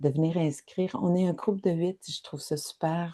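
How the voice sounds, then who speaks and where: This woman speaks with fairly even intonation and a dark, mellow tone. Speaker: spiritual wellness guide. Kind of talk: guided reflection livestream. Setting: live online session. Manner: halting, repeats words.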